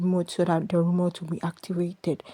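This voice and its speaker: A woman with a non-native accent speaks in a dark, mellow, somewhat breathy tone. The recording is very clean, with a silent background. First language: not English. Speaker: podcaster. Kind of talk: casual rant. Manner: rambling, halting.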